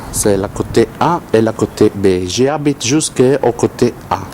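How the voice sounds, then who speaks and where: With noticeable noise behind him, a man speaks at a medium pitch and with lively intonation. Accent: Italian. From Italy. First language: Italian (speaking French). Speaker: tenant showing his building. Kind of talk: video tour. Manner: halting, hesitant.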